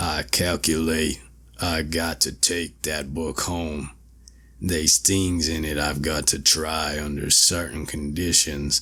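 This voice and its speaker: Putting on a character voice with a New England accent, a man speaks fairly slowly in a very deep, raspy, resonant tone. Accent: rural New England backwoods dialect. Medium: read story. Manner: crafty, coaxing.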